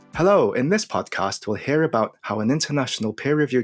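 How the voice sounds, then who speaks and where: With music in the background, a man talks at a fairly quick pace with very wide pitch swings, the sound dry and close with no echo. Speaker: podcast host. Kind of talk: interview host questions. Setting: studio.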